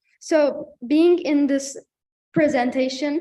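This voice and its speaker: A woman's dark, mellow tone with a Turkish accent and fairly even intonation. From Turkey. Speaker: student panelist. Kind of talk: panel presentation. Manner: halting.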